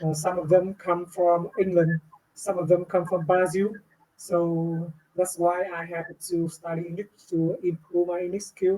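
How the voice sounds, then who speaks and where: In a Vietnamese accent, a woman speaks fairly slowly at a medium pitch with monotone, flat intonation. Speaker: English learner. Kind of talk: speaking test conversation. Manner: halting, many fillers.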